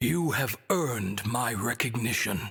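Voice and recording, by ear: A man's put-on character voice at a medium pitch, husky and rough-edged with vocal fry, slow in pace and lively in intonation. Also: fairly bright tone.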